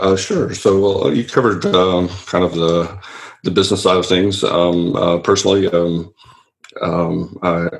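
With a Southern US accent, a man speaks in a very deep, low pitch. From Louisiana. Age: 40s. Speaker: business coach. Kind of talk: interview.

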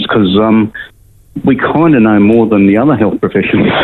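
There is noticeable background noise here. A man's speech moves at a moderate pace. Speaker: medical doctor. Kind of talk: interview. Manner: halting, many fillers.

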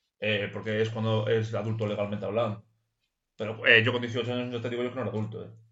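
Speaking very fast in a flat monotone, a man with a medium-pitched voice is heard with audible room echo. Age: 20s. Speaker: podcast co-host. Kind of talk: casual chat. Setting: at home.

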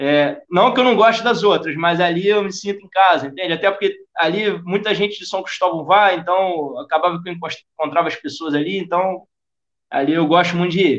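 Speaking at a moderate pace with a Rio de Janeiro accent, a man uses a high pitch and ordinary pitch variation. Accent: carioca. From Rio de Janeiro (Tijuca). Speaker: football fitness coach. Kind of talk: interview. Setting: podcast recording.

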